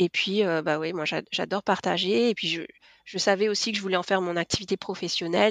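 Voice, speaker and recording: A woman talks at a fairly quick pace in a medium pitch. Her intonation stays fairly even, and the sound is dry and close with no echo. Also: quiet background. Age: 40s. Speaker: lettering artist. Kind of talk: interview. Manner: hesitant, many fillers.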